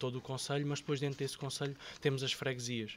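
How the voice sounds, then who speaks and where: A man speaks at a medium pitch. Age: 30s. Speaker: local politician. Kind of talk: podcast interview. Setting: studio. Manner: halting, many fillers and repetitions.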